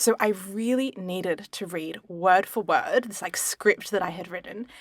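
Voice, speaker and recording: Speaking at a fairly slow pace with an Australian accent, a woman's voice shows big swings in loudness. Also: medium pitch for a woman, ordinary pitch variation. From Italian background. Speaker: podcast co-host. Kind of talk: casual chat.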